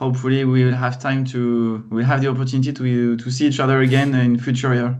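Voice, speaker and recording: With a French accent, a man speaks in a monotone, flat intonation with hardly any pauses, and audible room echo surrounds him. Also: medium pitch for a man, fairly quick pace. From France. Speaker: data consultant and trainer. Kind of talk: casual chat.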